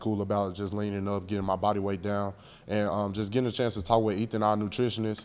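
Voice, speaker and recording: A man speaks quietly and very fast, in a fairly low pitch with monotone, flat intonation. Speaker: college football player. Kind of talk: press interview. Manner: laid back, quiet.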